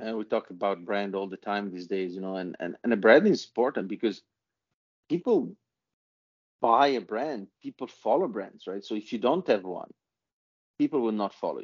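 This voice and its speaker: A man with an Italian accent, medium in pitch, with lively intonation and long, frequent pauses. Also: moderate pace. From Italy. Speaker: author and business leader. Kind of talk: interview.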